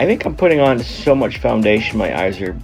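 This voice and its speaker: A man's voice with lively intonation over background music. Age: 50s. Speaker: husband narrating wife's makeup video. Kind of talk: humorous makeup tutorial voice-over.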